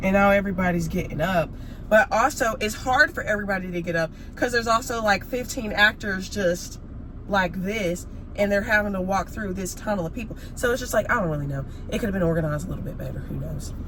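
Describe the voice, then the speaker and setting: A woman's animated, medium-pitched voice with an American accent, very fast and with ordinary pitch variation, over noticeable background noise. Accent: sounds more country when sick. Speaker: vlogger. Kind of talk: casual chat.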